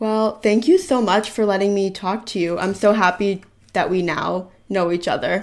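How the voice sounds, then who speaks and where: A woman's plain, everyday voice at a medium pitch, moderate pace and fairly even intonation, on a very clean recording with a silent background. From US Northeast, Philadelphia area. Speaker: student interviewer. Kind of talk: casual interview chat.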